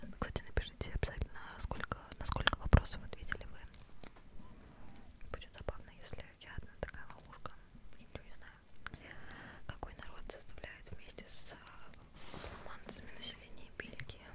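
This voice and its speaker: A woman whispers at a moderate pace, her speech broken by long, frequent pauses. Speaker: ASMR creator. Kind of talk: ASMR quiz chat to camera. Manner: whispered. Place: home room. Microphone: studio mic.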